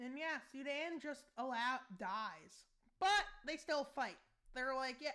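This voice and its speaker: A woman's high, bright and sharp voice, raised and projected, with lively intonation and a very slow pace. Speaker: YouTuber narrating a map war scenario. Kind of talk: casual commentary over map gameplay. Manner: loud; mumbling in other videos, now speaking up.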